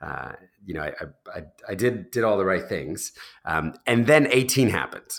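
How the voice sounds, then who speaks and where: A man with an American accent at a moderate pace, medium pitch, very wide pitch swings, big swings in loudness, long and frequent pauses, and vocal fry. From US Northeast, New Jersey. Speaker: charity founder. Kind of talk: interview. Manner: hesitant with many fillers.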